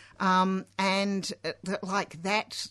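A medium-pitched woman with an Australian accent speaks at a very slow pace against a quiet background. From England, Hull (Yorkshire), raised in Australia from age six. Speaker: socialist activist. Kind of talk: radio interview. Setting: radio studio. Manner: halting, many fillers.

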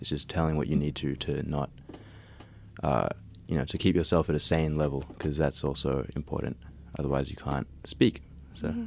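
At a moderate pace, a man speaks with a very deep, low pitch, vocal fry, monotone, flat intonation and long, frequent pauses. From Australia. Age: young. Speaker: artist and podcaster. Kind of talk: interview.

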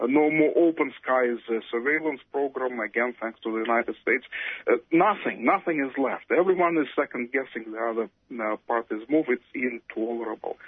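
A man with a normal speaking voice talks at medium pitch and moderate pace, with ordinary pitch variation and hardly any pauses. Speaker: academic on Russia and Ukraine. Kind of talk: interview.

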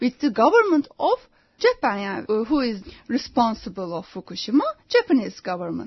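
A Turkish accent at a moderate pace. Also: woman. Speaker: anti-nuclear activist and journalist. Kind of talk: radio interview. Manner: halting.

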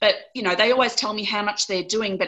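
Her tone is bright, sharp and animated. The woman speaks in an Australian accent with ordinary pitch variation. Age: 40s. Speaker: lawyer and abuse survivor. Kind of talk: interview.

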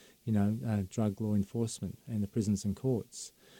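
A man with an Australian accent talks at a fairly quick pace in a fairly low, dark, mellow voice, with monotone, flat intonation and a dry, close sound with no echo. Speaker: former police officer, drug policy advocate. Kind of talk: radio interview. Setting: studio.

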